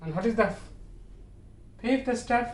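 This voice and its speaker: A man talks with a Bangladeshi accent. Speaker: English teacher. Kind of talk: online classroom lecture.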